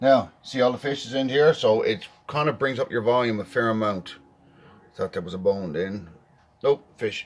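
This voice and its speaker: A man with a slight Newfoundland accent speaks at a moderate pace in a medium pitch, with ordinary pitch variation. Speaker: home cook. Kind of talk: cooking tutorial. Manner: casual.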